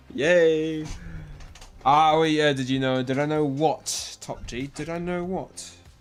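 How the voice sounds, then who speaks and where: A man's fairly high voice at a very slow pace, with fairly even intonation and music in the background. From New Zealand. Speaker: gaming streamer. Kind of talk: live stream chat. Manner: casual, halting.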